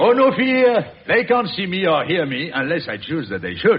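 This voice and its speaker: In a put-on character voice, a man speaks gruffly at a high pitch with very wide pitch swings. His pace is moderate. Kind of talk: 1940s radio acting. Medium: old radio play. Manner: gruff, blustering.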